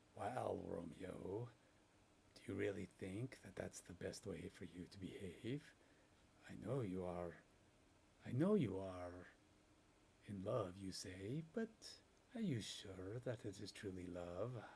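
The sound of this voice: Using a gruff, put-on character voice at a fairly low pitch, a man talks at a fairly slow pace with long, frequent pauses and big swings in loudness.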